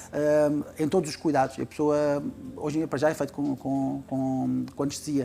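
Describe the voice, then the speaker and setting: A man's fairly high-pitched voice, monotone and flat, at a moderate pace with music in the background. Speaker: doctor. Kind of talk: TV talk show chat.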